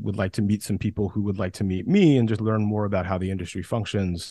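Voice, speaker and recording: In a quiet background, a man speaks with an American accent. His voice is fairly low and dark, mellow in tone, with fairly even intonation. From US South, West Central Georgia. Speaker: film producer and entrepreneur. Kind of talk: podcast interview.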